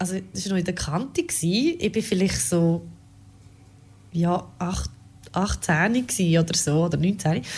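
A woman with a fairly low pitch and vocal fry speaks at a very slow pace, with long, frequent pauses. Her pitch variation is ordinary. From rural Switzerland. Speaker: radio podcast co-host. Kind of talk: casual chat.

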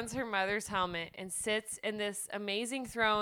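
The text is read aloud in a natural voice. The intonation stays fairly even.

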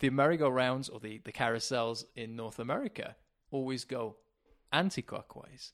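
Talking at a moderate pace in a plain, everyday voice, a man with a medium pitch and ordinary pitch variation shows big swings in loudness on a very clean recording with a silent background. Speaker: podcast co-founder. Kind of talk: casual interview chat. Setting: call.

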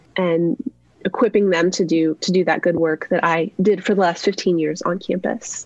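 A woman with a normal speaking voice talks at a fairly low pitch and a moderate pace, with fairly even intonation and very even loudness. The sound is dry and close, with no echo. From US Southwest, New Mexico. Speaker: author and campus ministry worker. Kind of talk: interview conversation.

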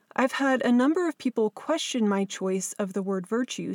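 A woman with a West Coast US accent is heard on a very clean recording with a silent background, the sound dry and close with no echo. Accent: General American, West Coast. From Southern California. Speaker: podcast host and abuse survivor author. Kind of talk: scripted narration.

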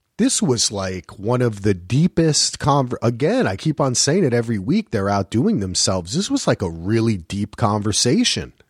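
A man talks at a moderate pace with hardly any pauses, his medium-pitched voice somewhat breathy and his intonation lively. The recording is very clean with a silent background and a dry, close sound with no echo. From New Jersey. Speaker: podcast co-host. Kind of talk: casual chat.

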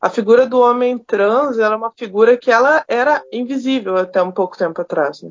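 A woman speaks fairly quickly with hardly any pauses, in an ordinary speaking voice. Her pitch is fairly high, with ordinary pitch variation. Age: 30s. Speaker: microbiologist and university lecturer. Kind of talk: podcast interview.

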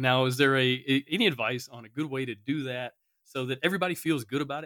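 In an ordinary speaking voice, a man talks at a fairly quick pace with medium pitch and ordinary pitch variation. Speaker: podcast host. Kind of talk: casual interview chat.

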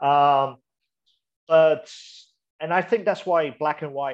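Against a quiet background, a man with a fairly high pitch speaks at a very slow pace. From Malaysia, mixed English-Chinese family, moved around. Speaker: street photographer. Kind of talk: interview. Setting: video call. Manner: enthusiastic.

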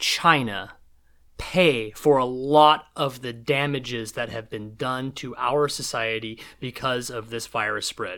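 Fairly slow speech from a man with a West Coast US accent, medium-pitched with ordinary pitch variation, in a very clean recording with a silent background. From Seattle, US Pacific Northwest. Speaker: podcast guest. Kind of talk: casual chat.

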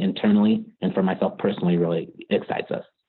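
A man speaks with a Californian accent. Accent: General American (Californian). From US West Coast, Bay Area California. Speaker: lawyer at a cannabis tech company. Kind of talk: podcast interview.

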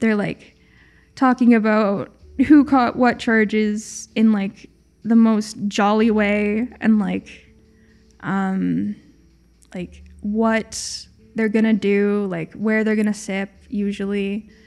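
A woman with a Canadian accent speaks at a very slow pace in a monotone, flat intonation, with long, frequent pauses. Music plays in the background. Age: 20s. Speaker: harm reduction worker. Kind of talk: interview and audio diary. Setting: self-recorded in an industrial building drop-in space. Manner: hesitant, many fillers.

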